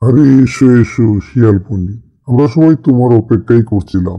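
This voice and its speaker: In a cartoonish character voice, a man speaks at a medium pitch. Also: moderate pace. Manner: authoritative.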